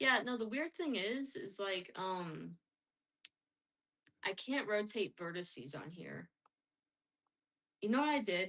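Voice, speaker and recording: A woman's bright, sharp voice at a very slow pace, with very wide pitch swings and long, frequent pauses, over a quiet background. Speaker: streamer making a game. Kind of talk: casual working commentary. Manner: hesitant, thinking aloud. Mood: mildly frustrated, puzzled. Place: home room.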